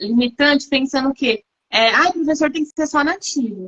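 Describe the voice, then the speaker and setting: High-pitched and bright, sharp in tone, a woman speaks at a fairly slow pace with ordinary pitch variation and a dry, close sound with no echo. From Brazil. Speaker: English teacher. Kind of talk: live-stream interview.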